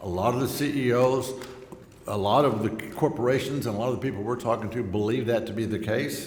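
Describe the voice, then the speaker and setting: A man with an American accent talks at a very fast pace in a medium pitch with ordinary pitch variation, amid noticeable background noise and audible room echo. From Texas Gulf Coast. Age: 60s. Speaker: congressman. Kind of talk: speech at a luncheon. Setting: luncheon event with live audience.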